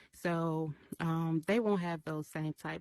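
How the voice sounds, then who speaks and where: Recorded with a dry, close sound and no echo, a woman speaks in a Memphis accent at a fairly low pitch. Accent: Southern US (Memphis). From US South, Memphis, Tennessee. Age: 30s. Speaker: artist, summit speaker. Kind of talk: short prepared talk. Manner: hesitant, many fillers; voice shakes when nervous.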